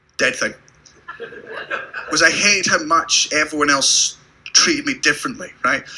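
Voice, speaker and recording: Speech at a moderate pace, broken by long, frequent pauses, over noticeable background noise. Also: man. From Britain. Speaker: stand-up comedian. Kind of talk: stand-up. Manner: animated.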